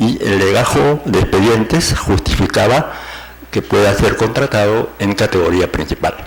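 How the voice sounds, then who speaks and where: Amid noticeable background noise and audible room echo, a man with a fairly low pitch speaks at a fairly slow pace with lively intonation. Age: 60s. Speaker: university professor, petitioner at court hearing. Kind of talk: oral argument before court. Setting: courtroom hearing. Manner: halting, many fillers and repetitions.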